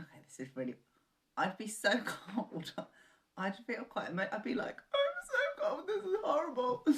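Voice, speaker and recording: Long, frequent pauses break up this woman's speech. She talks with a southern English accent. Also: moderate pace. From southern England. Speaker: co-host. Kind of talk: casual chat.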